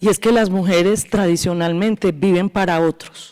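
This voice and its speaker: In an Antioquian Colombian accent, a woman with a medium pitch talks at a fairly slow pace with fairly even intonation. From Colombia, northeastern Antioquia. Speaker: law professor, transitional justice expert. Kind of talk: academic panel talk.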